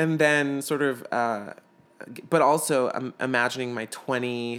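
Using a normal speaking voice, a man of medium pitch talks at a moderate pace with fairly even intonation. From US South, Atlanta, Georgia. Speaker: actor. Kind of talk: casual chat.

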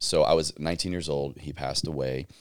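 A man's very deep, low pitch, ordinary pitch variation and a moderate pace. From US South, Southwest Virginia. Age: 30s. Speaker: podcast host and army veteran. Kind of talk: casual interview.

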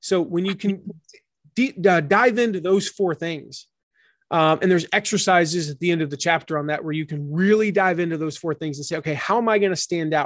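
Against a quiet background, someone with an American accent speaks at a fairly quick pace. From US South. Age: 40s. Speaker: author and business coach. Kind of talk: interview. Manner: animated.

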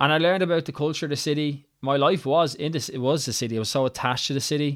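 Against a silent background in a very clean recording, a man with a Dublin accent speaks fast at a fairly high pitch, with ordinary pitch variation. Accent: Irish, Dublin area.

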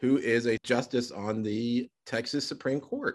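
A man speaks at a medium pitch. His pace is very slow. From Arkansas, Little Rock. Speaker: podcast host and teacher. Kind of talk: casual interview chat.

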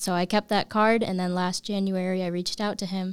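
A woman with an American accent talks at a fairly quick pace and medium pitch. Her intonation is flat and monotone, and the recording is very clean with a silent background. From upstate New York. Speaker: engineering intern. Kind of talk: casual interview.

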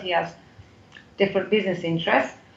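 A woman is speaking. She has a British accent. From UK, Turkish parents. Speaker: foundation CEO. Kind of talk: interview conversation. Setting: remote call from Turkey.

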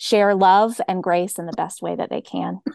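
Speaking at a moderate pace with an American accent, a woman has a normal speaking voice, fairly low in pitch, with ordinary pitch variation, recorded dry and close with no echo against a quiet background. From US South, Georgia (Cobb County). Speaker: pastor. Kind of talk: interview conversation.

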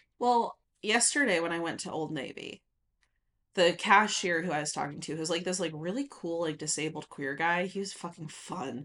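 At a moderate pace, a woman speaks in an unremarkable speaking voice, fairly low in pitch, with ordinary pitch variation. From rural Nevada, US. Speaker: podcast co-host. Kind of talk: casual chat.

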